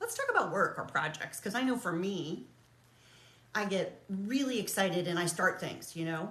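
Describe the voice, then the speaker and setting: Her tone animated and her pitch swinging very widely around a medium level, a woman speaks in a room with audible echo. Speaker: realtor and coach. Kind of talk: casual vlog monologue. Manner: fast.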